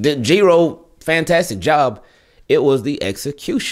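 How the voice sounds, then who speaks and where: A man talks with lively intonation and vocal fry. The background is quiet. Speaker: sports fan vlogger. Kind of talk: commentary. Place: home room.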